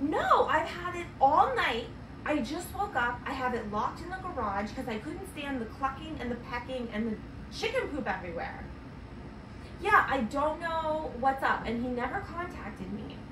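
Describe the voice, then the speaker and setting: Against noticeable background noise, a woman speaks in a high pitch at a moderate pace. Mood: annoyed, exasperated. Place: home room.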